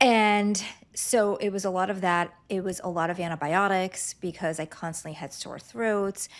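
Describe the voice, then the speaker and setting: This woman has an unremarkable speaking voice with ordinary pitch variation. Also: medium pitch for a woman, moderate pace. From Lithuania, moved to US at ten. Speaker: clinical nutritionist. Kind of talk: interview.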